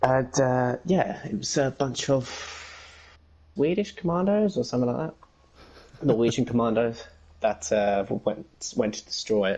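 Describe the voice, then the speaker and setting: A man speaks in an English accent at a medium pitch. His tone is dark and mellow, with lively intonation. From England, Essex. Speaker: gamer and fan-fiction writer. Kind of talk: casual interview chat.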